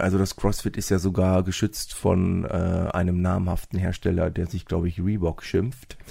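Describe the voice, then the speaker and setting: A man's very deep, low, somewhat breathy voice at a moderate pace, with fairly even intonation and hardly any pauses. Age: 40s. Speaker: fitness club owner and sports teacher. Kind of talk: casual interview. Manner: hesitant with many fillers.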